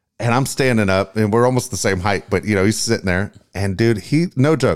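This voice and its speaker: With an American accent and an ordinary speaking voice, the speaker talks at a fairly quick pace with ordinary pitch variation on a very clean recording with a silent background. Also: man. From Tennessee, US South. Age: 50s. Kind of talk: casual chat.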